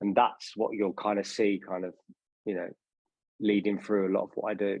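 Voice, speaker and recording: A man with a London accent talks at a moderate pace and a fairly low pitch, his intonation monotone and flat. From England, northwest London (Harrow). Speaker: drinks brand founder, former stage performer. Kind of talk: interview.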